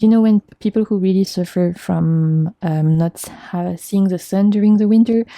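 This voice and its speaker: A woman with a French accent and a medium pitch talks at a moderate pace in a dark, mellow tone, the sound dry and close with no echo. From France. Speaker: tarot reader. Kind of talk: tarot reading to camera. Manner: halting.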